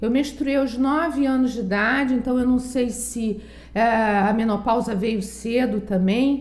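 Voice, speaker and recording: Fairly slow speech amid audible room echo. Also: woman. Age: 60s. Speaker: psychologist. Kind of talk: testimony.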